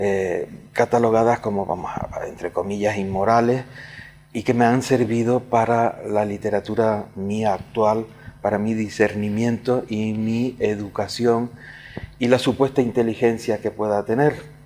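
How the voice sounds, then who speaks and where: A man talks at a fairly slow pace in a flat monotone. His voice sits at a medium pitch with a dark, mellow tone. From Canary Islands, Tenerife (La Laguna). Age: 70s. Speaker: writer and poet. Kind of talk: interview. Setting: room in a casino club, recorded interview. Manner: halting, with fillers.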